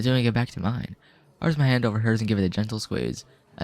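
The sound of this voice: In an unforced reading voice, the intonation remains fairly level.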